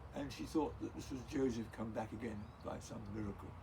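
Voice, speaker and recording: Audible room echo surrounds a man with an English accent who speaks at a fairly quick pace. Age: 70s. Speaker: grandfather interviewed by grandchild. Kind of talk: casual family interview, storytelling. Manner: halting, many fillers.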